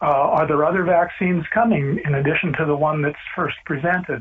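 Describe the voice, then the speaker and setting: A man talks fairly quickly in a fairly high pitch while noticeable background noise plays. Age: 70s. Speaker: retired epidemiologist. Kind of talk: radio call-in.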